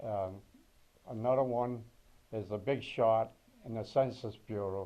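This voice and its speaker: A man's dark, mellow voice in a New England accent, fairly slow, with monotone, flat intonation. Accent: New England American. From Massachusetts. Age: 80s+. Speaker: war veteran. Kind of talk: oral history interview.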